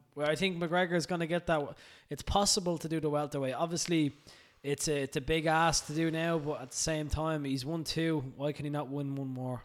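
With an Irish accent, a man talks at a fairly quick pace and fairly high pitch, his intonation fairly even. The recording is very clean, with a silent background. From Ireland. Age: 20s. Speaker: personal trainer. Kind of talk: casual chat. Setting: studio.

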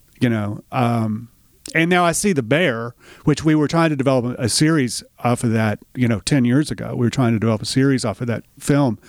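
A man's medium-pitched voice with a Tennessee accent, a fairly quick pace and ordinary pitch variation, in a dry, close sound with no echo and a very clean recording with a silent background. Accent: Southern US (Tennessee). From Middle Tennessee, US South. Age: 50s. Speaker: writer, filmmaker and musician. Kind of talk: casual interview. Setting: on-location recording studio.

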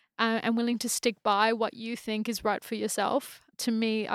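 In an Australian accent, a woman with a fairly high pitch speaks at a moderate pace in a monotone, flat intonation, on a very clean recording with a silent background and a dry, close sound with no echo. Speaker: photographer and chief creative officer. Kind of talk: casual chat.

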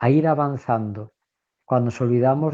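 Heard in a dry, close sound with no echo, a man with a medium pitch and a dark, mellow tone speaks at a fairly slow pace with ordinary pitch variation. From Spain, Valencia. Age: 60s. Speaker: priest. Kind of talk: radio talk show discussion.

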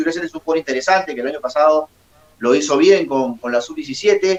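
Over noticeable background noise, a man talks at a fairly quick pace. His pitch is high, his intonation lively. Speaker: sports journalist. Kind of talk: interview.

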